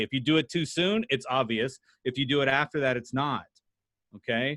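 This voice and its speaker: A man's animated, fairly high-pitched voice. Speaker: sales trainer. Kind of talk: workshop presentation. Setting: video call. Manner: fast.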